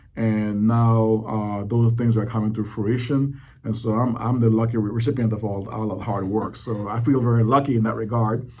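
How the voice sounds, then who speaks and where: A man with a Belizean accent, medium pitch, dark and mellow tone, monotone flat intonation, moderate pace with hardly any pauses, and audible room echo. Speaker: economic development director. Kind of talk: interview. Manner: halting, many fillers.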